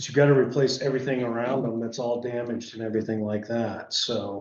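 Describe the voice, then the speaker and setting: Medium in pitch and monotone with flat intonation, a man's voice carries audible room echo. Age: 60s. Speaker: energy efficiency contractor. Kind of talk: public meeting discussion. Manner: halting.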